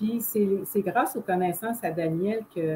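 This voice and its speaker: A woman with a Quebec accent speaks in a dark, mellow tone that is somewhat breathy. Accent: Québécois French. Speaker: holistic therapist. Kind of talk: casual explanation.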